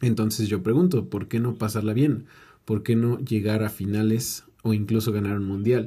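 A man with a Mexican accent speaks in a dark, mellow, somewhat breathy tone with fairly even intonation. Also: fairly low pitch for a man, moderate pace, very clean recording, silent background. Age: 20s. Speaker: podcaster and life coach. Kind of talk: motivational monologue. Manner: casual.

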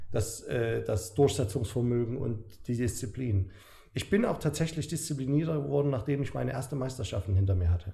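This man's voice is medium in pitch, somewhat breathy, and dark and mellow in tone. His intonation is lively. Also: fairly quick pace. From Saxony, Germany. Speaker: bodybuilder. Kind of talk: casual chat.

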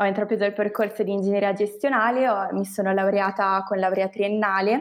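At a moderate pace, a woman speaks with a medium pitch. Her intonation is monotone and flat, over a quiet background. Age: 20s. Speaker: management engineer. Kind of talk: interview.

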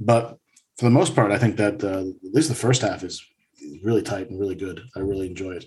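In an American accent, a man speaks rather quickly with a slightly breathy quality. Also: fairly low pitch for a man, ordinary pitch variation. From United States. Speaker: music podcaster, returning guest. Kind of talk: casual chat.

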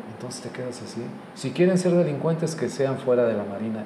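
A man talks at a fairly quick pace with lively intonation. The recording has audible room echo and noticeable background noise. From Mexico. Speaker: podcast host. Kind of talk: casual chat.

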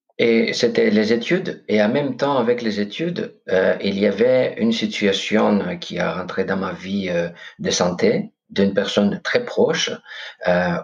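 A man talks in a Greek accent. His pace is very slow. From Greece, Corfu. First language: Greek (speaking French). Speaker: podcast host, meditation guest. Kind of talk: interview conversation. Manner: hesitant.

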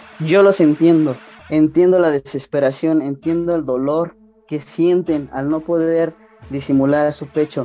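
Noticeable background noise beneath a man's fairly high-pitched voice, its pitch varying in an ordinary way. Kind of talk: casual chat.

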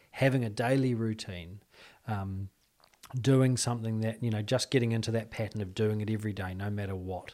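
Speaking at a fairly quick clip with a New Zealand accent, this man has a dark, mellow tone, fairly low pitch and fairly even intonation. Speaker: clinical psychologist. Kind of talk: casual interview.

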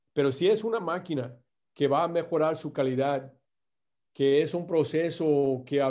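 A man with an American accent, a dark, mellow tone and fairly even intonation, over a quiet background. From US Midwest, Indiana. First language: English (speaking Spanish). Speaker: company executive. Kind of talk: interview. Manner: halting, many fillers and repeats.

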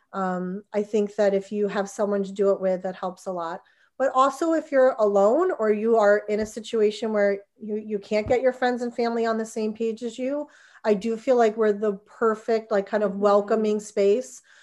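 Someone speaks with an American accent in a normal speaking voice, at a moderate pace and with fairly even intonation, over a quiet background. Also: woman, fairly high pitch for a woman. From New Jersey. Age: 40s. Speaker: fitness studio owner. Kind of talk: casual interview.

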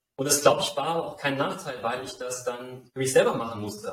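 A man talks at a very fast pace. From Saarland, Germany. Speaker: life design mentor, former football coach. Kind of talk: interview.

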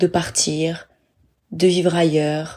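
Her tone dark and mellow, a woman speaks. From France, Bordeaux. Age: 30s. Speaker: travel podcaster. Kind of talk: personal monologue podcast.

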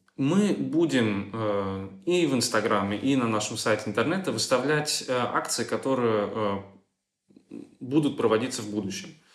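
Audible room echo frames a man speaking in a medium pitch with lively intonation. He goes at a fairly slow pace with long, frequent pauses. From Germany. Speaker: volunteer project coordinator. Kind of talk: interview. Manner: hesitant, frequent fillers.

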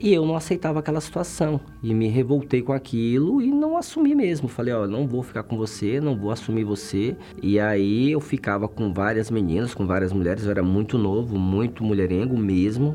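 The speech moves at a moderate pace with hardly any pauses and lively intonation. Music plays in the background. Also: man, medium pitch for a man. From Brazil, interior of Bahia. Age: 40s. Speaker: military policeman. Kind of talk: testimony.

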